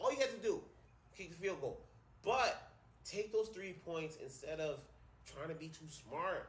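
Animated and high-pitched, a man talks at a fairly slow pace with lively intonation, big swings in loudness, and long, frequent pauses. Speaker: sports podcast host and teacher. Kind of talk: angry rant about coaches' play-calling, profanity-laden, emphatic. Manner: loud, fiery, hammering each point.

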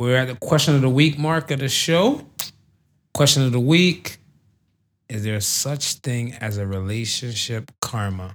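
A plain, everyday voice from a man at medium pitch, fairly slow, with lively intonation, on a very clean recording with a silent background. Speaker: podcast host. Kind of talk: casual banter podcast chat. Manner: laid-back, joking, profane.

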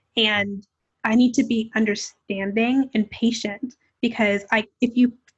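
This woman's voice is fairly high-pitched and somewhat breathy. Her intonation stays fairly even. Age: 20s. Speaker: podcast host. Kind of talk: casual chat. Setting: video call.

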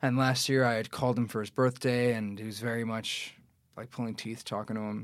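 A normal speaking voice from a man with an American accent, medium-pitched and fairly quick, on a very clean recording with a silent background. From New York City, Astoria, Queens. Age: 20s. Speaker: actor. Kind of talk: casual chat.

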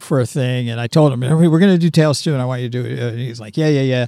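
In an American accent, a man speaks at a medium pitch in a plain, everyday voice, the sound dry and close with no echo. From Pittsburgh, Pennsylvania. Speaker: film director. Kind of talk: casual interview. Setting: outdoors on location.

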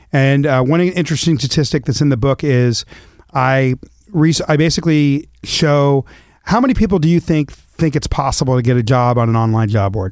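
A man with an American accent uses a normal speaking voice, fairly high in pitch, with ordinary pitch variation, very even loudness and a moderate pace. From US West Coast (Los Angeles, then Eugene, Oregon). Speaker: author and speaker. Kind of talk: interview conversation. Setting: studio.

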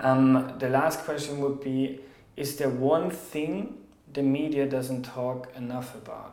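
A man speaks very slowly with medium pitch and monotone, flat intonation, amid noticeable background noise and audible room echo. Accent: German. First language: German. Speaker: podcast host, journalist. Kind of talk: interview.

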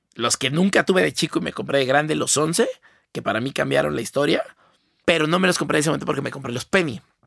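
A man with a Mexican accent talks at a very fast pace in a fairly high pitch with vocal fry, the sound dry and close with no echo. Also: ordinary pitch variation. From Mexico. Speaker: designer. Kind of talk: casual chat.

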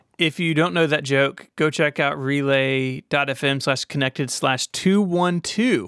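Speaking with an American accent, a man has a fairly high pitch and an unremarkable speaking voice, ordinary pitch variation, and hardly any pauses, on a very clean recording with a silent background and a dry, close sound with no echo. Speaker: podcast host. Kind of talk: casual chat.

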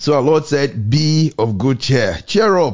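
A man talks in a plain, everyday voice, his intonation lively and his pace moderate. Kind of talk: devotional radio talk and preaching. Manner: fervent, exhortative.

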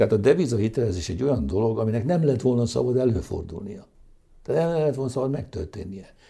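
A man talks at a very fast pace with vocal fry. His intonation is lively. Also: medium pitch for a man. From Hungary. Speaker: economist. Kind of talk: interview.

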